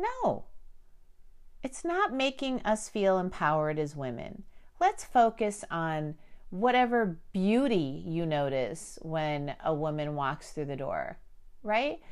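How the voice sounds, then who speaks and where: This woman speaks very slowly with an American accent. Her medium pitch swings very widely. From Chicago, Armenian diaspora family. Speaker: podcast host. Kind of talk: casual monologue.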